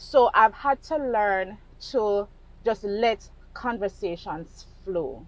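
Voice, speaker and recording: A woman's fairly high voice at a very slow pace, with lively intonation. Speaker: vlogger in sales. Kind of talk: casual monologue vlog. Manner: slow, measured; hesitant, halting.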